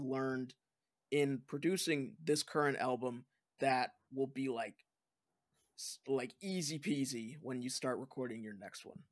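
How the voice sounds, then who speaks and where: An ordinary speaking voice at a fairly slow pace, with big swings in loudness, on a very clean recording with a silent background. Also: man. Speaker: podcast host. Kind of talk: casual interview chat. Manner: upbeat, friendly.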